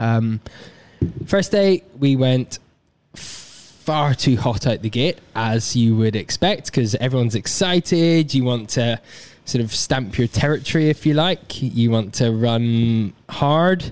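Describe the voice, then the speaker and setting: At a very slow pace, a man speaks in a medium pitch with lively intonation and very even loudness. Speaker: ultra runner. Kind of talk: casual chat.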